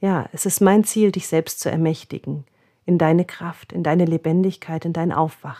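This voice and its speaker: Here is a plain, everyday voice, moving at a moderate pace with fairly even intonation. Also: woman, fairly low pitch for a woman. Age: 40s. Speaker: body therapist and podcast host. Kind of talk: spiritual self-help monologue.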